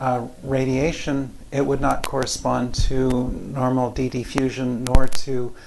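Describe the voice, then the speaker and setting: In a room with audible echo and noticeable background noise, a soft-spoken man talks at a very slow pace in a monotone, flat intonation. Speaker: physics professor. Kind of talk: lecture. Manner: halting.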